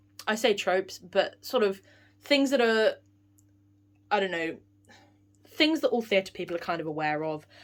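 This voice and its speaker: With a British accent, a woman speaks at a medium pitch, her pitch swinging very widely, and she takes long, frequent pauses. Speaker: theatre vlogger. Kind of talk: film review vlog. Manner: fast.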